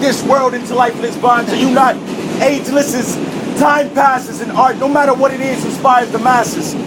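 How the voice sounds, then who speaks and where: A loud, extremely high-pitched male voice at a fairly quick pace, fairly even in intonation, with audible room echo and noticeable background noise. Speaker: spoken word poet. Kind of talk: spoken word performance. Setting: subway car.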